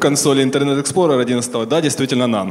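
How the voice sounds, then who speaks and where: A man is speaking with fairly even intonation. Noticeable background noise can be heard. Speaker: conference host / moderator. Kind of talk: conference moderating, announcements and Q&A.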